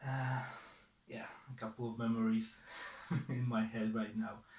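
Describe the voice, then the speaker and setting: A man with a Polish accent talks at a fairly slow pace. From southern Poland, Silesia. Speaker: watch collector. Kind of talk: personal story to camera. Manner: hesitant, many fillers.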